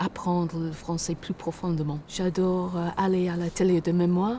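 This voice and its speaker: A woman speaks with an English accent in a fairly low pitch. Her tone is dark and mellow, her intonation monotone and flat. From Britain. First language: English (speaking French). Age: old. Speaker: retiree seeking citizenship. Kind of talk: interview. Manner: halting.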